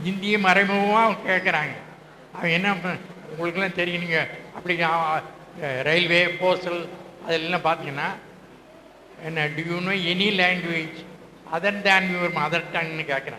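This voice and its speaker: Over noticeable background noise, a man speaks at a high pitch with fairly even intonation. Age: 80s+. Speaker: retired English teacher. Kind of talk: reunion speech to former students. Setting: public hall.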